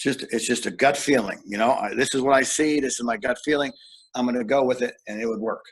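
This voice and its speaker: Very fast male speech with an American accent, medium pitch and fairly even intonation. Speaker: strength and conditioning coach. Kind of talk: podcast interview.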